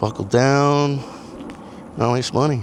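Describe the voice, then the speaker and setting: A man talks, taking a fairly slow pace. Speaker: vlogger. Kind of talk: casual walk-and-talk vlog. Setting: outdoors walking on a trail. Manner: mumbling.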